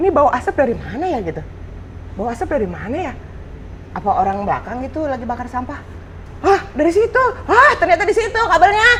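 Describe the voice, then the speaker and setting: Over noticeable background noise, a woman with an extremely high pitch speaks very fast in an animated tone, her pitch swinging very widely between long, frequent pauses. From Jakarta, Indonesia. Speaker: actress and former radio announcer. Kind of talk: casual chat.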